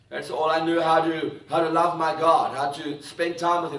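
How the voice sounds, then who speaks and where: A man's high-pitched voice with audible room echo. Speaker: preacher. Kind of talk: sermon. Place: church.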